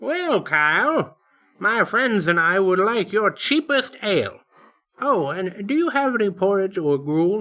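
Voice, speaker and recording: An affected character voice, mid-range in pitch, unhurried at a fairly slow pace. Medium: read story. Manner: genial, measured.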